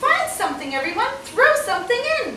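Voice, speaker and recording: A woman's put-on character voice, squeaky and extremely high, with very wide pitch swings, a fairly quick pace, clear background noise and a slight echo. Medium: read story.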